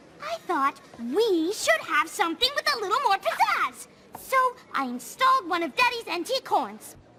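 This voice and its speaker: This is a cartoonish character voice that sounds female. It sits at an extremely high pitch and swings very widely in pitch. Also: moderate pace. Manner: posh, theatrical.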